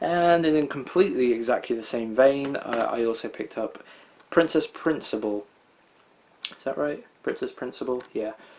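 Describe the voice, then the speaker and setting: A man speaks with a British accent. His pitch is fairly high, with ordinary variation. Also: moderate pace. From Britain. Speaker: anime collector video host. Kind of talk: unboxing haul commentary. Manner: casual, hesitant with many fillers.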